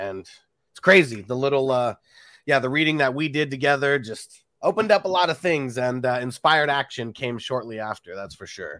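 Here a man at medium pitch talks at a fairly quick pace in a plain, everyday voice. His intonation is lively, and his loudness swings widely. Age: 30s. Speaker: fantasy football YouTuber, host. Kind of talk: casual chat, interview. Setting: video call.

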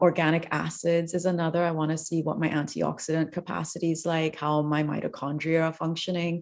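Her fairly low-pitched voice moves at a fairly quick pace with hardly any pauses. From Trinidad. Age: 40s. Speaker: functional health coach. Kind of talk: interview. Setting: video call.

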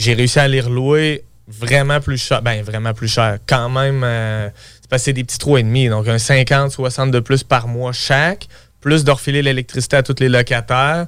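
A man speaks at a fairly slow pace in an unremarkable speaking voice, his pitch medium and his intonation fairly even. His loudness swings widely. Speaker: real estate investor. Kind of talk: interview.

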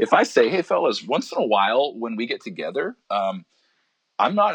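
A man speaks with a Western Canadian accent in a dry, close sound with no echo. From Alberta, Canada. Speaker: pastor. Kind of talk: interview conversation.

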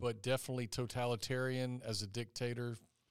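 This man has a Southern US accent. His pitch sits in the medium range. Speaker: high school teacher hosting a student podcast. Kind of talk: casual interview.

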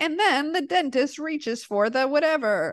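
A woman's put-on character voice, high-pitched, with lively intonation, a moderate pace and light background noise. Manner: play-by-play announcer.

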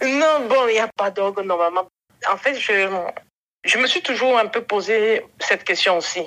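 Woman at a fairly slow pace, fairly high pitch, lively intonation and very even loudness. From western Cameroon. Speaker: podcast guest. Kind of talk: interview.

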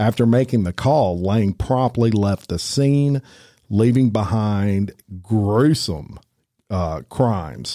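A man with a fairly low pitch and lively intonation speaks in an unremarkable speaking voice, captured in a very clean recording with a silent background. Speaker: true crime podcast host. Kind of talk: casual chat.

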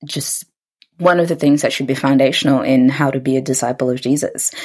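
A woman with a New Zealand accent speaks in a very deep, low pitch. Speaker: podcast host. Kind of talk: casual chat.

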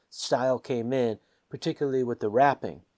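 In an American accent, a man with a plain, everyday voice talks at a moderate pace and medium pitch, the sound dry and close with no echo. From US, Washington. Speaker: musician. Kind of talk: casual chat.

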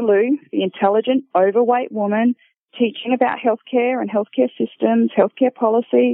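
With an Australian accent, a woman talks with ordinary pitch variation. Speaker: paramedic and academic. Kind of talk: personal testimony.

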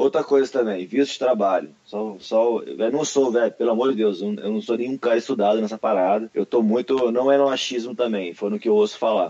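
An unremarkable speaking voice from a man, medium-pitched, fairly quick, with hardly any pauses and ordinary pitch variation. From Brasília, Brazil. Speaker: martial arts athlete and instructor. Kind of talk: casual chat.

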